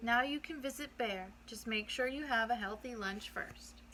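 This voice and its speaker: In a put-on character voice, a female-sounding speaker talks at a fairly high pitch and moderate pace over clear background noise. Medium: read story.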